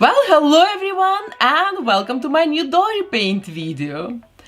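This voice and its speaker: Very wide pitch swings from a woman over noticeable background noise. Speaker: doll artist. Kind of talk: tutorial.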